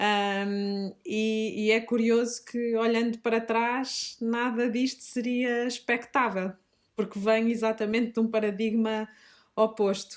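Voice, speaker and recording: The speech, in a Minho accent, is very slow with monotone, flat intonation and very even loudness. The recording is very clean, with a silent background. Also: woman, fairly high pitch for a woman. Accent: Minho accent, noticeable. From northern Portugal, Minho (Fafe, Braga district). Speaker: teacher and shop founder. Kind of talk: podcast interview. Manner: hesitant, many fillers.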